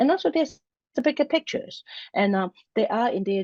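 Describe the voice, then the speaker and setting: A woman talks with a Hong Kong accent. Her pace is fairly quick. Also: dry, close sound with no echo, quiet background. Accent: Hong Kong Cantonese-accented English. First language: Cantonese. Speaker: university center director. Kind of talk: interview. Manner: halting, many fillers and restarts.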